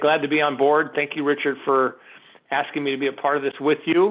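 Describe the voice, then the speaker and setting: A man with a fairly high pitch talks at a fairly quick pace in a plain, everyday voice. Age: 60s. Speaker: mortgage software sales executive. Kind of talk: webinar introduction. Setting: video call webinar.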